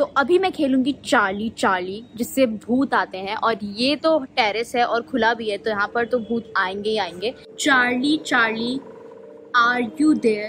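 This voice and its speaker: A woman at a very slow pace, with ordinary pitch variation and light background noise. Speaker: vlogger. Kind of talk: casual vlog chat. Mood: scared, tense. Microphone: phone near.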